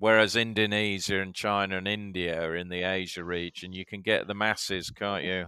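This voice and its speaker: A man's very deep, low voice with a bright, sharp tone and flat, monotone intonation, in a Yorkshire accent. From Yorkshire, England. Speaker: media executive. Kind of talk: casual chat. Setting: video call.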